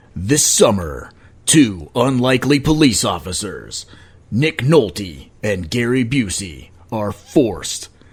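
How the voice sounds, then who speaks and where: A put-on character voice from a man, medium in pitch with very wide pitch swings, at a fairly slow pace. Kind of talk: deep, theatrical. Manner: dramatic, announcing.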